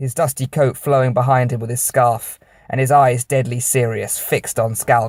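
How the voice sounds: Fairly even intonation shapes this natural reading voice.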